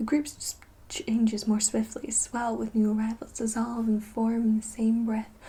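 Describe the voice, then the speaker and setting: Noticeable background noise sits behind a woman speaking at a moderate pace in a fairly high voice. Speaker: ASMR creator roleplaying a teacher. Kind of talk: literary reading with teacher commentary. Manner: soft-spoken, whispering.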